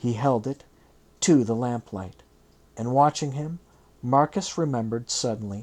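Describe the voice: Someone is plainly reading aloud. The pitch varies in an ordinary way.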